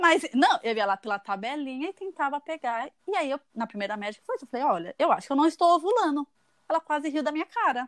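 Her voice is high-pitched and swings very widely in pitch as she talks at a very fast pace. The woman's sound is dry and close, with no echo. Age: 30s. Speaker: fertility patient sharing her story. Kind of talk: casual interview.

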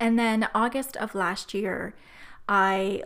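A woman speaks at a medium pitch with fairly even intonation and some vocal fry. The recording is very clean, with a silent background. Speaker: podcast host, retreat planner. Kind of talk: solo podcast monologue. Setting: home office.

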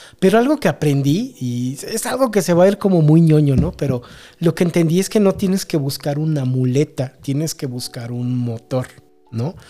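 A man with a Mexican accent speaks at a moderate pace, his fairly high pitch carrying a dark, mellow tone and lively intonation. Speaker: podcast co-host. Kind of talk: casual chat.

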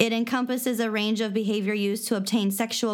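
A woman's fairly high-pitched voice with an American accent, fairly quick pace and fairly even intonation, an ordinary speaking voice. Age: 30s. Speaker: podcast co-host. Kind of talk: casual chat with reading of definitions.

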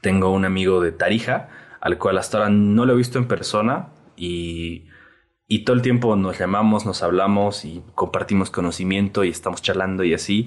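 A man with an ordinary speaking voice, fairly low pitch, fairly even intonation and a moderate pace. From Bolivia. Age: 20s. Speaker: photographer. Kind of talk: casual chat.

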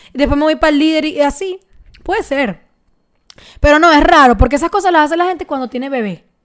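With a Venezuelan accent and ordinary pitch variation, the speaker talks at a very fast pace broken by long, frequent pauses. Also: woman, high pitch for a woman. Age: 20s. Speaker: podcast co-host. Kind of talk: casual chat.

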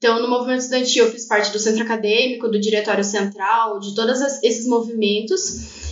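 Over noticeable background noise, a woman with a fairly high pitch talks at a fairly quick pace with fairly even intonation and hardly any pauses. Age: 20s. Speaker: activist and poet. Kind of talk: casual interview chat.

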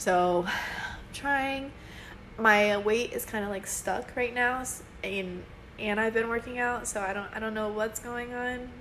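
A woman with a fairly high pitch speaks at a fairly slow pace. There is audible room echo. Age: 20s. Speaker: podcast co-host. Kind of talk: casual chat. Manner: animated.

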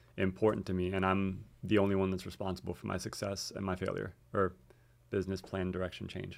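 Here a man talks with an American accent at a very deep, low pitch. The recording is very clean, and the background is silent. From US, Miami area. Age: 30s. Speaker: physical therapist. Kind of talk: casual chat.

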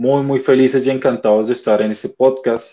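A man speaks fairly quickly at a medium pitch, in an ordinary speaking voice. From Colombia. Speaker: basketball club representative. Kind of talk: interview.

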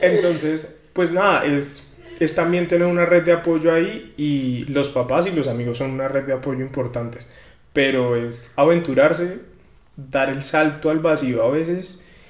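The speaker talks at a fairly slow pace, with audible room echo around the voice. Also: man, fairly high pitch for a man, ordinary pitch variation. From Colombia, rural Cundinamarca (Guachetá). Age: 20s. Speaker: podcast guest, young professional. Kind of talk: casual chat.

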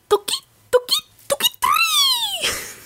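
An extremely high-pitched, put-on character voice. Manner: cutesy, loud.

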